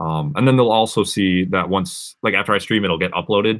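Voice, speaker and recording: An American accent marks this man's speech, which moves at a fairly quick pace. His pitch varies in an ordinary way over a quiet background. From Massachusetts, outside Boston. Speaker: music producer and livestreamer; live streamer. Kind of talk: casual livestream chat. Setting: live stream from home studio. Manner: casual, filler-heavy. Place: home room. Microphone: webcam.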